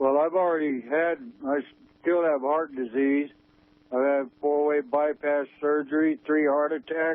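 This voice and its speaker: Speaking at a fairly slow pace with fairly even intonation and very even loudness, this man has a fairly high pitch and an ordinary speaking voice. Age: 60s. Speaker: radio caller. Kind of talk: call-in radio discussion.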